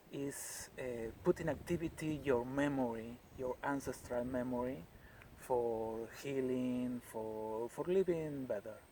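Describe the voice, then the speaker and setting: A man's dark, mellow tone at medium pitch, with ordinary pitch variation and a fairly slow pace. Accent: Spanish. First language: Spanish. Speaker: healer and natural products maker. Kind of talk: interview answers. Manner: halting, non-fluent English.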